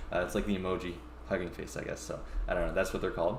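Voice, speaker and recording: There is audible room echo around this man's voice. He has vocal fry and ordinary pitch variation. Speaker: tech company founder and tutorial streamer. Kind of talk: live-streamed coding tutorial. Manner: halting with many fillers.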